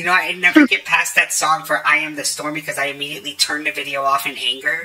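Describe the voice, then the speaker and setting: Over noticeable background noise, the speech runs at a fairly quick pace with hardly any pauses. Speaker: video editor and manga reviewer. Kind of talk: casual chat.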